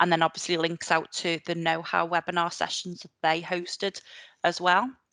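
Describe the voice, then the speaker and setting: A woman talks at a moderate pace in a bright, sharp tone with monotone, flat intonation. The sound is dry and close with no echo, over a quiet background. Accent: Liverpool. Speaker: librarian. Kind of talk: conference presentation. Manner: hesitant, many fillers.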